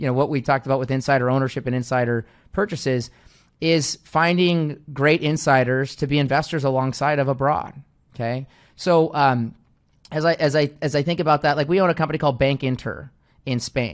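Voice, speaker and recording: At a fairly quick pace, a man with an American accent talks in a normal speaking voice, fairly high, with fairly even intonation. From US Pacific Northwest, Seattle. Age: 30s. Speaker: investment firm CEO. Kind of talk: interview. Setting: video call.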